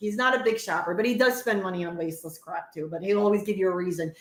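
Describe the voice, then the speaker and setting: With a New Jersey accent, a woman sounds animated as her pitch swings very widely against noticeable background noise. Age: 40s. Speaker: podcast co-host. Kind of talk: casual chat.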